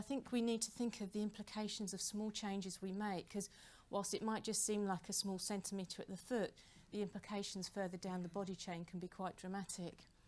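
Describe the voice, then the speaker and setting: Talking at a fairly quick pace with a British accent, a woman at medium pitch keeps her intonation fairly even. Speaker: professor and rowing injury researcher. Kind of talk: conference lecture. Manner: fast.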